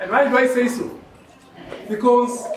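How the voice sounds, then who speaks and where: Loud and extremely high-pitched for a man, this male voice moves at a very slow pace amid audible room echo and noticeable background noise. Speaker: medical professional speaker. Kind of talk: public speech. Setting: hall with audience, PA system.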